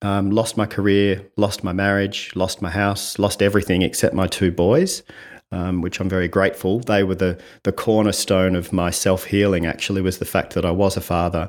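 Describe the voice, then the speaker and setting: Speaking in a fairly low pitch with an Australian accent, a man keeps a monotone, flat intonation in a very clean recording with a silent background. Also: moderate pace. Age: 50s. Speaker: communication coach. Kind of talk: podcast interview.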